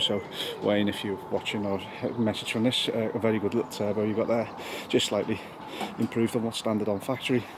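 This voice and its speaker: Noticeable background noise sits behind a man speaking at a fairly low pitch with monotone, flat intonation. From northwest England, Wirral, Merseyside. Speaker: car enthusiast vlogger. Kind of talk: casual vlog narration. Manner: casual, with fillers and hesitations.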